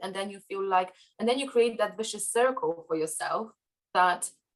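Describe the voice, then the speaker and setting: This is a woman with a Polish accent. Her pitch sits in the middle range. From Poland. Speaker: podcast guest. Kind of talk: interview conversation. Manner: halting, many fillers.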